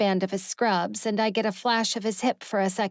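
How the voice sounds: In a natural reading voice, the intonation holds fairly even.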